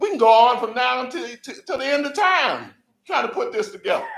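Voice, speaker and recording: A man's extremely high voice with very wide pitch swings at a fairly quick pace. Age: 70s. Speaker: audience member asking a question. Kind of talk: audience Q&A comment. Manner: animated.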